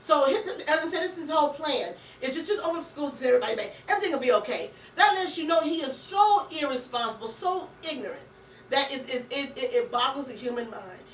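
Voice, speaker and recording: Very fast and animated, a woman speaks at a high pitch with very wide pitch swings and big swings in loudness, over noticeable background noise and audible room echo. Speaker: radio talk show host. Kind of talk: casual political chat. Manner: stammering when agitated.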